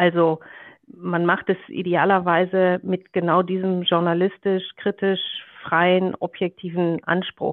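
A woman speaks very slowly at a medium pitch, her loudness very even and her intonation flat and monotone. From Germany, Ruhr area. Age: 40s. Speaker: media executive. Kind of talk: interview. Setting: video call.

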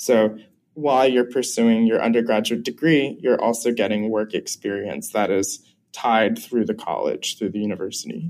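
A man with an unremarkable speaking voice talks at medium pitch and a moderate pace, with ordinary pitch variation. The recording is very clean, with a silent background. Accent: American. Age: 20s. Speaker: chemistry student. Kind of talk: interview. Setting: outdoors.

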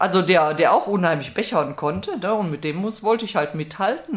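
Noticeable background noise beneath fairly quick talking, pitch varying in an ordinary way. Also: woman. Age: 60s. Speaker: recovering alcoholic and peer guide. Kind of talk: personal testimony.

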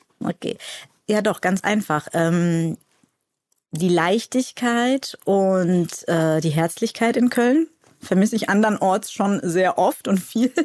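A woman's medium-pitched voice at a very slow pace, with ordinary pitch variation, very even loudness and a dry, close sound with no echo. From Cologne, Germany. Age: 40s. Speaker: actress and shop owner. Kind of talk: casual chat. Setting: studio.

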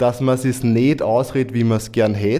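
A man is speaking. His tone is dark and mellow. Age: 40s. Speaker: guest, father. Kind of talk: panel discussion.

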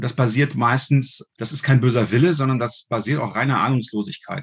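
At a moderate pace, a man with a medium pitch speaks in a somewhat breathy voice. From Germany, Düsseldorf. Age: 40s. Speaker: firearms instructor and hunter. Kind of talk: casual interview.

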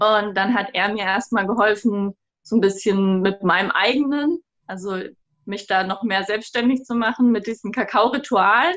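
With a normal speaking voice at a medium pitch, a woman talks at a moderate pace with ordinary pitch variation. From southern Germany. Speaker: cacao business co-founder. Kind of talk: interview.

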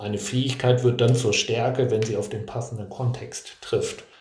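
Audible room echo surrounds a man speaking in fairly even intonation. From Hannover, northern Germany. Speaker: career planning trainer. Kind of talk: casual interview. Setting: boarding school seminar venue.

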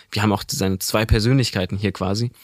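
Over a silent background in a very clean recording, a man talks very fast with fairly even intonation. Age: 20s. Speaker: manga podcast co-host. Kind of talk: casual chat. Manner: hesitant with fillers.

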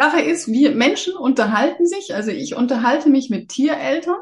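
High female speech at moderate speed, its pitch swinging very widely. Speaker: animal communicator. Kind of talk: casual interview chat.

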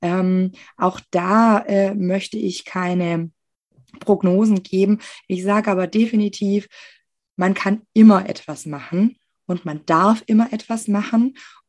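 Long, frequent pauses mark a woman's very slow speech, delivered with fairly even intonation. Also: medium pitch for a woman. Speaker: occupational therapist. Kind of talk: interview.

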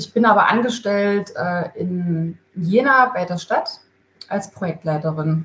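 A woman's voice, pitched in the medium range for her, moves along very slowly with normal rises and falls. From Thuringia, Gera (eastern Germany). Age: 30s. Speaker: construction project manager. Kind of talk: interview. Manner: hesitant, many filler sounds.

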